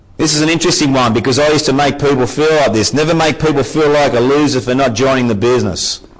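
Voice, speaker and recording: Over noticeable background noise, a man talks very fast with hardly any pauses, fairly high in pitch with ordinary variation and very even loudness. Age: 40s. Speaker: business motivational speaker. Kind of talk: motivational talk. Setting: meeting with audience. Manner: animated.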